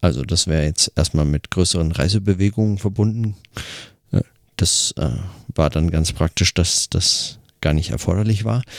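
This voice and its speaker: Speaking at a moderate pace with long, frequent pauses, a man's very deep, low voice holds very even loudness and ordinary pitch variation. The sound is dry and close, with no echo. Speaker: podcaster. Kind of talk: audio diary monologue. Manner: hesitant, many fillers.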